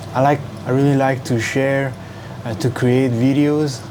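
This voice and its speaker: Over noticeable background noise and audible room echo, a man talks at a fairly slow pace with a medium pitch. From Hong Kong. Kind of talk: casual vlog to camera. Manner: halting, many fillers.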